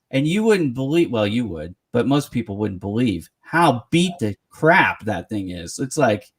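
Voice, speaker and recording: The sound is dry and close with no echo as a man of medium pitch speaks with hardly any pauses and very wide pitch swings. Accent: American. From US West Coast, San Francisco Bay Area. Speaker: interview show host. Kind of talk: casual interview chat.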